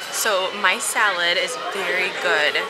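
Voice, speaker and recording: Clear background music under a woman's voice. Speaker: food vlogger. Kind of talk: casual food review chat. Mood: cheerful, slightly spicy-mouthed. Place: cafe. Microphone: phone near.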